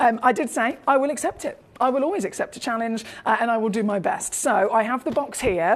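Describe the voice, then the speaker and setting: A woman's high voice at a very fast pace, full of lively intonation. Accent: British. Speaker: TV shopping presenter. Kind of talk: live sales pitch. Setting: studio. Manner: fast, chaotic.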